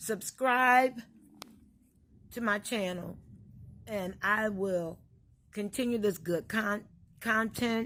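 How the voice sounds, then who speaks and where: The woman's pitch is medium. It shifts in an ordinary way. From US Midwest, Illinois. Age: 50s. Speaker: vlogger. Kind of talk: casual monologue.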